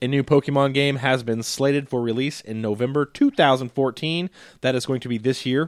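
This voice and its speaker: With a normal speaking voice, a man talks fairly quickly at a medium pitch with fairly even intonation, in a dry, close sound with no echo. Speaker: podcast co-host. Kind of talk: casual chat.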